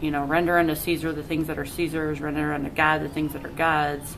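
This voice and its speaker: Soft-spoken, a woman with a very deep, low voice talks in a monotone, flat intonation amid audible room echo. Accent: American. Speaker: painter. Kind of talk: tutorial. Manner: casual.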